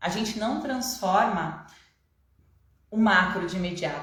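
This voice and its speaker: In a room with audible echo, a woman talks at a moderate pace and medium pitch with ordinary pitch variation. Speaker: online coach. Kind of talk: live online class. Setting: Instagram live stream.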